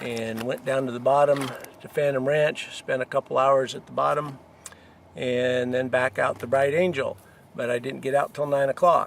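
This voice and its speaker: A man talks at a moderate pace in a medium pitch. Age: 60s. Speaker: hiker. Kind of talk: casual monologue giving advice. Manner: hesitant, many fillers.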